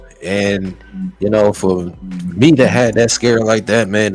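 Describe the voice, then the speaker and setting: Over music in the background, a man with a fairly low pitch speaks at a fairly slow pace with fairly even intonation. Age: 30s. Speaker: podcast co-host. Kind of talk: casual chat. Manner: halting.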